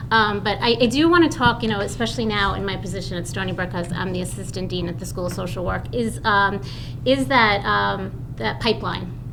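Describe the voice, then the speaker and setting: A woman with a Long Island accent at a fairly quick pace, with audible room echo and noticeable background noise. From Long Island, New York. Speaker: social work professor. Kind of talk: testimony at public forum. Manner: halting, many fillers.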